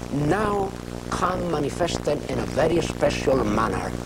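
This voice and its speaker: A man talks over loud background noise. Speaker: religious teacher. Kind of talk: sermon. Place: studio. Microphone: lapel.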